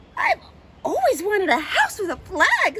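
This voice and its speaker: A put-on character voice at an extremely high pitch. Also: moderate pace. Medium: read story. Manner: fussy.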